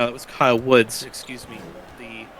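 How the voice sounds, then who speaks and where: A man with an American accent over noticeable background noise. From rural Louisiana. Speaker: color commentator. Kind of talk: live commentary. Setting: broadcast booth. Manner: shortens words.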